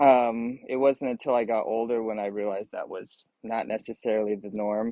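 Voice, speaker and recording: At a moderate pace, a man with an American accent speaks in a normal speaking voice at a medium pitch with fairly even intonation, the sound dry and close with no echo. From US Southwest, Phoenix. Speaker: immigration lawyer. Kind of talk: interview.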